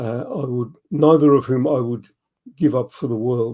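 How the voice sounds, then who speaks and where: Speaking at a fairly slow pace, a man with an Australian accent has a dark, mellow tone. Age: 70s. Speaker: motorcycle travel writer. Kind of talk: interview. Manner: halting, many fillers.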